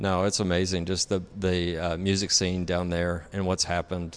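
A man with a Southern US accent, very deep and low in pitch, at a moderate pace with monotone, flat intonation. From Tennessee. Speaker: architect and designer. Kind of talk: interview. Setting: studio.

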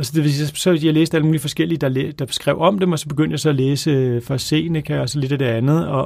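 Speaking at a fairly quick pace, a man uses a fairly high pitch and fairly even intonation. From Copenhagen, Denmark. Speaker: author. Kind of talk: casual chat. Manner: halting.

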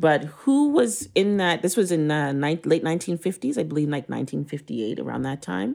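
The speech moves at a fairly quick pace with hardly any pauses, in a very clean recording with a silent background. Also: woman. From Canada, Trinidadian parents. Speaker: beverage company CEO. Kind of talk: interview.

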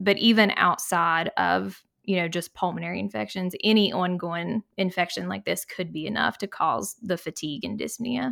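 With vocal fry, a woman speaks at a fairly low pitch. She keeps a moderate pace with hardly any pauses. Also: lively intonation. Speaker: pulmonary and critical care fellow. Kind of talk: casual medical podcast discussion.

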